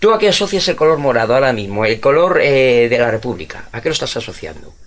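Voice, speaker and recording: Talking very quickly, a man lets his pitch rise and fall across a very wide range. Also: medium pitch for a man. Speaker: history teacher. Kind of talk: casual chat.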